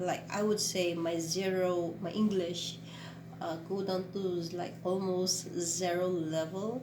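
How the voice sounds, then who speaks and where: Audible room echo and noticeable background noise surround a woman's fairly low voice. She speaks very slowly in a flat, monotone way. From Philippines, Ilocos/Pangasinan. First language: Tagalog/Ilocano. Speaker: vlogger and teacher. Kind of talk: casual vlog talk. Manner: halting, many fillers and self-corrections.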